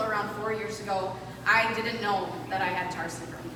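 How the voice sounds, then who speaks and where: A woman speaks with an American accent. Noticeable background noise and audible room echo fill the recording. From US Midwest, Minnesota. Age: 30s. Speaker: lawyer, patient advocate speaker. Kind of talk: prepared presentation.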